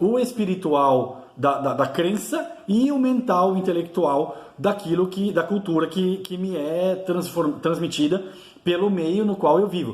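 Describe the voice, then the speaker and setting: At a moderate pace, a man with a high pitch and lively intonation speaks amid audible room echo and noticeable background noise. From Brazil, São Paulo. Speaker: YouTuber teaching Celtic spirituality. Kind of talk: informal video lecture. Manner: halting, many fillers and restarts.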